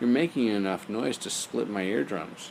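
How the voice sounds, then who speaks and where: At a moderate pace, a man performs a put-on character voice with fairly low pitch against clear background noise. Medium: read story.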